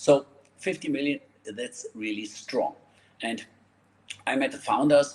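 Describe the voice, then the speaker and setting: Here a man speaks with a German accent. He keeps a fairly slow pace. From Germany. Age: 50s. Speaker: network marketer. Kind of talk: sales pitch. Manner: animated.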